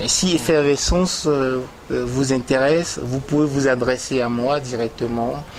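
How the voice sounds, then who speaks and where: With a Beninese accent, a man speaks at a fairly slow pace and medium pitch with fairly even intonation, amid noticeable background noise. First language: Gun (speaking French). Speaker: poet. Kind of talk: interview. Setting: TV studio. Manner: hesitant, many fillers.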